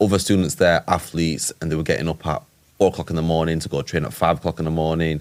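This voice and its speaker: A man speaks very fast in a very deep, low voice with a monotone, flat delivery. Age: 20s. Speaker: entrepreneur and boxer. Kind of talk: casual chat.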